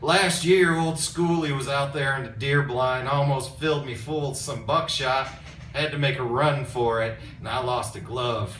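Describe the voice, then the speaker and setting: A man does a drawling, put-on character voice at a fairly high pitch. He keeps a moderate pace against clear background noise. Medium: read story.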